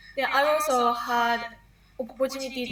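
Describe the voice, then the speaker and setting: The speech moves at a moderate pace in a monotone, flat intonation, with noticeable background noise and audible room echo. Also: woman. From Japan. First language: Japanese. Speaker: university student. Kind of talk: interview. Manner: halting.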